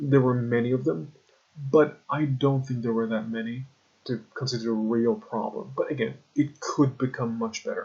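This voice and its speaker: A man speaks at a moderate pace with a medium pitch. His voice is somewhat breathy, with ordinary pitch variation. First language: Persian. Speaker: language learner vlogger. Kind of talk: casual product review. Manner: halting, with fillers.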